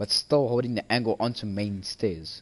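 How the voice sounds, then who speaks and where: A man talks at a very fast pace. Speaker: esports caster. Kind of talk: live commentary.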